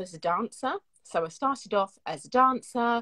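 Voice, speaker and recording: A woman speaks with lively intonation at a fairly slow pace. Her tone is bright and sharp, the sound dry and close with no echo. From South London, England. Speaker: singer. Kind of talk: interview.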